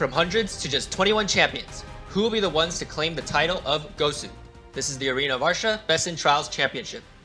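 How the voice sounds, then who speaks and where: Over music in the background, a man with a high-pitched voice talks at a very fast pace. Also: ordinary pitch variation. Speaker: esports tournament host. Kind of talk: livestream hosting.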